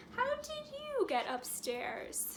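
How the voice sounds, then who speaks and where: A woman puts on a squeaky character voice against clear background noise. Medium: read story.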